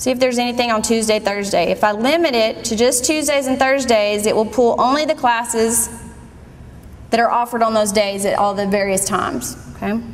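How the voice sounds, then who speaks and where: A woman talks at a fairly quick pace in a fairly high pitch with ordinary pitch variation and very even loudness. Noticeable background noise and audible room echo are present. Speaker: college staff giving registration tutorial. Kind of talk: screen-recorded tutorial.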